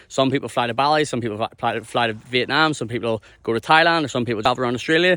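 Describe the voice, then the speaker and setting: A man with a Northern Irish accent talks at a very fast pace with fairly even intonation. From Ireland. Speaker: mining worker and content creator. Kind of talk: casual vlog explanation. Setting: outdoors on a beach. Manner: casual, repetitive with false starts.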